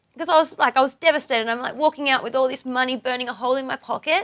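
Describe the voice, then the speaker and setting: A high-pitched woman's voice with an Australian accent, dry and close with no echo. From Australia, Tamworth area, NSW. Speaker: country singer-songwriter. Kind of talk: interview.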